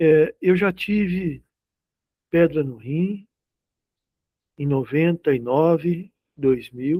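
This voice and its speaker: Speaking very slowly with long, frequent pauses, a man uses a fairly high pitch, ordinary pitch variation and a dark, mellow tone, in a dry, close sound with no echo. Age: 60s. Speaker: spiritist study group leader. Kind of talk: religious study group discussion. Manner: conversational, anecdotal.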